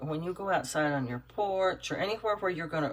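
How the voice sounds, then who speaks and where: A woman's very deep, low voice with ordinary pitch variation. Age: 60s. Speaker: doll-making YouTuber. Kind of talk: casual tutorial chat while working. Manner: halting, rambling with fillers.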